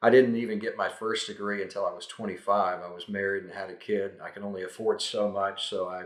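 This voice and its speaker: Using a plain, everyday voice, a man speaks with fairly even intonation. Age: 60s. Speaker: real estate educator. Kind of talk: talking-head advice video. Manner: conversational, with frequent fillers.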